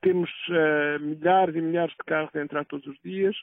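A man talks with ordinary pitch variation. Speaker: environmental association president and professor. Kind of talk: interview. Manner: halting.

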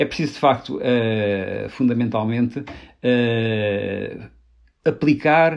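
The pitch varies in an ordinary way against a quiet background. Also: man. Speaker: politician. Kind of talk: political discussion. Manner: halting.

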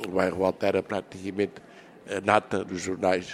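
A man speaks at a moderate pace. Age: 70s. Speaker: elderly interviewee sharing memories. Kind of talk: reminiscing interview.

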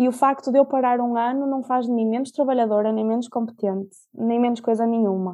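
Speaking in a European Portuguese accent at a fairly quick pace, this voice keeps a fairly even intonation with hardly any pauses. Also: woman, high pitch for a woman. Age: 20s. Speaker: podcast guest, law graduate and traveller. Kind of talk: casual interview. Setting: at home, remote recording.

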